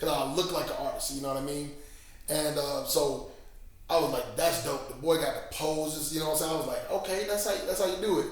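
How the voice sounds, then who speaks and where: A man with an American accent talks at a fairly quick pace. Noticeable background noise and audible room echo fill the recording. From Missouri. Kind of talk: interview.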